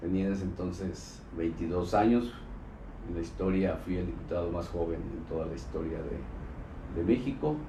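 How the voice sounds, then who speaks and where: This man's very deep, low voice carries a dark, mellow tone and vocal fry, moving at a moderate pace with ordinary pitch variation amid audible room echo. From Mexico, Colima. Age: 60s. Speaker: former state governor and politician. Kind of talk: interview. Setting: live streamed interview, in person.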